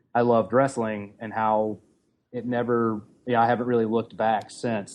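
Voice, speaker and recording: A man talks at a fairly quick pace in a medium pitch. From US South, middle Tennessee. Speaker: comic anthology editor. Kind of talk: podcast interview.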